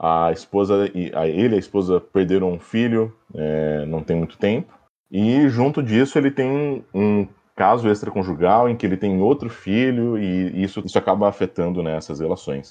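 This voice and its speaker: The intonation is lively at a moderate pace. The background is quiet. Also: man, fairly low pitch for a man. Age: 30s. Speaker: film commentator, journalism graduate. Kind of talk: casual podcast chat. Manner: halting, many fillers.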